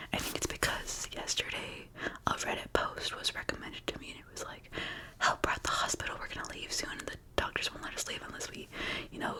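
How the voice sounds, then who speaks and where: A woman whispers at a very fast pace, her loudness swinging widely. Background noise is noticeable. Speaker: ASMR creator. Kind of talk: ASMR casual chat to camera. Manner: whispered.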